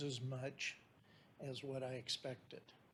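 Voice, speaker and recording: Very slowly, a man talks at medium pitch in a somewhat breathy voice. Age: 70s. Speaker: member of the public, retired engineer. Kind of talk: public comment at a meeting. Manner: halting.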